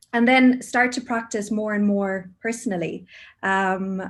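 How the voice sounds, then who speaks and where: A woman speaks with an Irish accent against a quiet background. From Ireland, Cork. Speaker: mindfulness teacher, HR professional. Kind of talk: casual chat.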